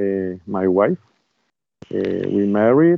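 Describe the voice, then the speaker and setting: A man speaks with a Spanish accent at a fairly low pitch. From Colombia, Bogota. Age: 40s. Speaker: bishop and exorcist. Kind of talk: interview. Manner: halting.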